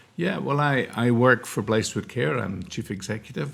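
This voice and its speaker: Noticeable background noise surrounds a man speaking with a Scottish accent. His pace is moderate, his pitch medium, and his intonation lively. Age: 60s. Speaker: charity chief executive. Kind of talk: interview. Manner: hesitant, many fillers.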